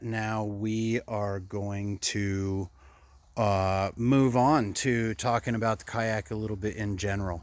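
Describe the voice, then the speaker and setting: This man talks at a very slow pace in a fairly low pitch. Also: dry sound with no echo. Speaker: kayak fishing vlogger. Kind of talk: casual vlog talk. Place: garden. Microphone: phone near.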